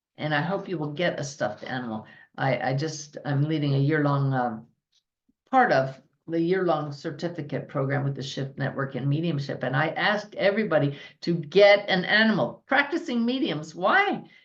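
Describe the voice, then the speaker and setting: Lively intonation rides along at a moderate pace. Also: woman, very deep, low pitch for a woman. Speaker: spiritual teacher and medium. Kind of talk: podcast talk to audience.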